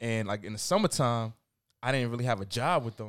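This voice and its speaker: Here a man with a New York accent talks very fast at medium pitch with ordinary pitch variation. The recording is very clean, with a silent background. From New York, Queens. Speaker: music journalist and tastemaker. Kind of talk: casual chat turning into heated debate.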